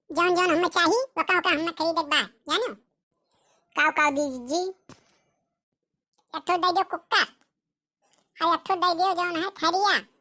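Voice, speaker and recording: A woman does a squeaky put-on character voice at an extremely high pitch with ordinary pitch variation. Her pace is moderate with long, frequent pauses, and the sound is dry and close with no echo. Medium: comedy sketch. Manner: bossy, insistent.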